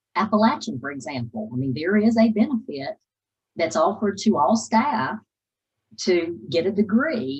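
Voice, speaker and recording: A woman speaks fairly slowly at a medium pitch, with vocal fry. Her pitch swings very widely. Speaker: university finance officer presenting to students. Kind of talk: presentation Q&A.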